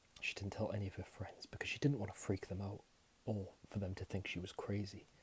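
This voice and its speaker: Soft-spoken and somewhat breathy, a man whispers at a fairly quick pace. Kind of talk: whispered ASMR horror storytelling. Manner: soft-spoken, whispering.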